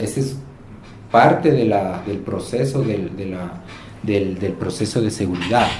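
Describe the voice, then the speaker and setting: There is noticeable background noise and audible room echo. Through it, a man speaks with lively intonation. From Quito, Ecuador. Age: 40s. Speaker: motel owner. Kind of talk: interview. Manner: halting, repetitive fillers.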